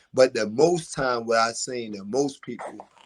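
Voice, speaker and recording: A man with a Baltimore accent. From West Baltimore, Maryland, US. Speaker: boxer. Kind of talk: casual interview.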